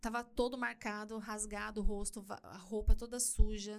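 A woman speaking at a moderate pace. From Brazil, São Paulo city (Perus). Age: 40s. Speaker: church youth leader and influencer. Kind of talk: casual interview chat. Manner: animated, laughs often.

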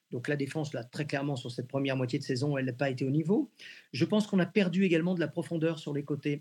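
A man talks at a very fast pace in a fairly high, somewhat breathy voice with ordinary pitch variation. The recording is very clean with a silent background. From Brittany, France (near Rennes). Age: 60s. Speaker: sports journalist and football commentator. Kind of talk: radio interview.

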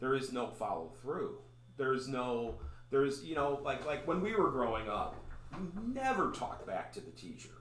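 A man with a Chicago accent speaks at a medium pitch and a moderate pace. His intonation is lively, and there is noticeable background noise. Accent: Chicago-area American. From US Midwest, Chicago area. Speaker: pastor and podcast host. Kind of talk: casual interview.

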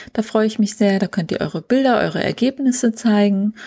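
A woman's somewhat breathy voice sits at medium pitch with a dark, mellow tone and a dry, close sound with no echo. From northern Germany, Schleswig-Holstein coast. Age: 40s. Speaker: photographer and podcast host. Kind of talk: solo podcast monologue.

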